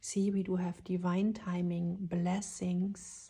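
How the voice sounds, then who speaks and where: A woman speaks at a very slow pace in a dark, mellow tone at medium pitch. Her somewhat breathy delivery is monotone, with flat intonation. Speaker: tarot reader. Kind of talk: tarot reading.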